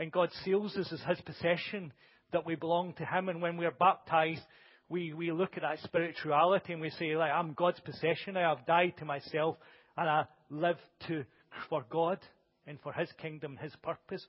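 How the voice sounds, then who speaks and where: A man speaks in a high voice at a moderate pace. His intonation stays monotone and flat. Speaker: preacher. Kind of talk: sermon. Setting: church with congregation. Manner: loud.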